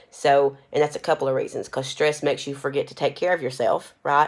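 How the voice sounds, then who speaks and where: A woman speaks at a very fast pace. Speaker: nursing instructor. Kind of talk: recorded lecture. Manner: casual, with fillers.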